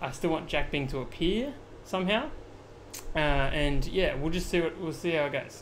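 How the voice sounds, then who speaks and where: Audible room echo surrounds a man speaking at a fairly high pitch with an Australian accent. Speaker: video editing streamer. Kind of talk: live-streamed tutorial. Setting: live stream. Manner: casual, filler-heavy.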